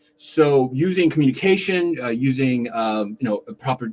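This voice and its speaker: A man's speech carries lively intonation. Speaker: contact center consultant. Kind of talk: live-streamed talk. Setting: live stream on camera. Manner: fast.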